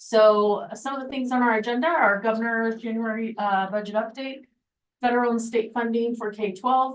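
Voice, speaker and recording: A woman talks at a moderate pace in an ordinary speaking voice. Her intonation stays fairly even. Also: fairly high pitch for a woman. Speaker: school finance officer. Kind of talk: board meeting presentation.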